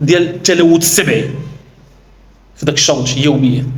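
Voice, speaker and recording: A man with a Moroccan accent talks at a moderate pace, with audible room echo and noticeable background noise. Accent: Moroccan Darija with French loanwords. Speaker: workplace safety trainer. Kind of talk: educational explanation. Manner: halting, with false starts.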